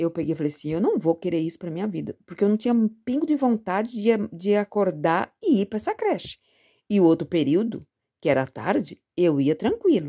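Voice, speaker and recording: A woman's dark, mellow voice moves at a moderate pace through very wide pitch swings. The recording is very clean with a silent background, dry and close with no echo. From Brazil, São Paulo state (Presidente Prudente). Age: 60s. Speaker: retired teacher. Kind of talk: testimony.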